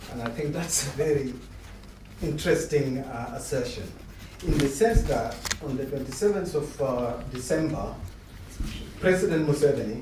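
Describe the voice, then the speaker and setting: Amid noticeable background noise and audible room echo, a man with a fairly high pitch talks at a moderate pace, with long, frequent pauses. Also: ordinary pitch variation. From South Sudan. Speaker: audience member asking a question. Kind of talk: public Q&A comment. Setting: public discussion event with audience. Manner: animated.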